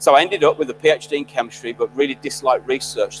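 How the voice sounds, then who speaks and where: A man speaks at a fairly quick pace while music plays behind him. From West Midlands, England (Birmingham/Solihull). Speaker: graduation guest speaker, chemist. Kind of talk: ceremonial speech.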